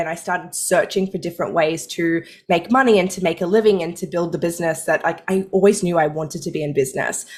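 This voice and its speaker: Very fast speech comes from a woman at medium pitch with an Australian accent. The recording is very clean, with a silent background. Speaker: money mindset coach, former pharmacist. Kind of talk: podcast interview.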